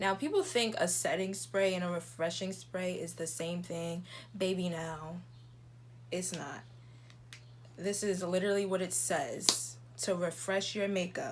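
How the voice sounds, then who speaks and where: A soft-spoken woman talks at a fairly slow pace, leaving long, frequent pauses. Audible room echo surrounds her voice. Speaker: beauty YouTuber. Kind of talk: makeup tutorial.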